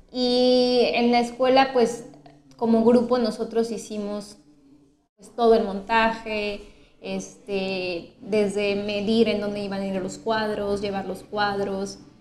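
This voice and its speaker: Speaking very slowly, a woman uses a fairly high pitch and monotone, flat intonation. Room echo is audible. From Mexico City. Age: 30s. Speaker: painter and art teacher. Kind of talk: interview. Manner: measured, thoughtful.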